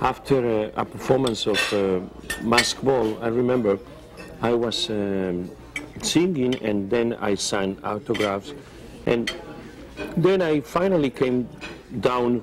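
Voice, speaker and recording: With a Spanish accent and a medium pitch, a man talks at a very slow pace with long, frequent pauses and lively intonation over noticeable background noise. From Spain. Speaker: opera tenor. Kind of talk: interview answer.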